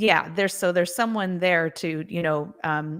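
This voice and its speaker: A woman with a normal speaking voice, fairly low-pitched, at a moderate pace and fairly even intonation, in a very clean recording with a silent background. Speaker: singer and vocal coach. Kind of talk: interview answer. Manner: casual, conversational.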